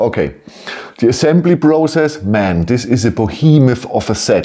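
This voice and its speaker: A man talks with a German accent at a moderate pace. His pitch swings very widely. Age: 50s. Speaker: toy building set reviewer. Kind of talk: product review. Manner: halting; animated.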